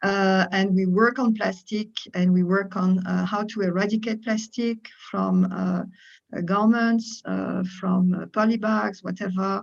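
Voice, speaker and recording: Speaking at a fairly slow pace, a woman uses a medium pitch, a monotone, flat intonation and a somewhat breathy delivery. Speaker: head of fashion sustainability NGO. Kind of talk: panel discussion. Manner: halting.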